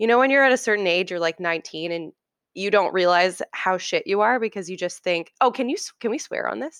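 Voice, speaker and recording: A woman with an Ontario accent at a medium pitch, animated in tone with lively intonation and a fairly quick pace, in a dry, close sound with no echo over a quiet background. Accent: Canadian (Ontario). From Ontario, Canada (Oakville). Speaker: chef. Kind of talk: casual interview.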